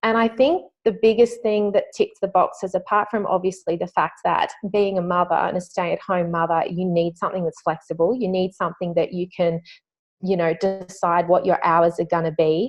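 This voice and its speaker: At a moderate pace, a woman speaks in an Australian accent with fairly even intonation. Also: medium pitch for a woman. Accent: thick Australian. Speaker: network marketing distributor. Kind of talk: testimony. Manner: halting.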